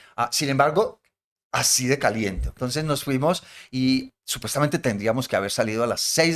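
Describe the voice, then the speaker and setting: Heard on a very clean recording with a silent background, a man with a plain, everyday voice talks at a fairly quick pace and medium pitch. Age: 60s. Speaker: podcast host, professor. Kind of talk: casual chat.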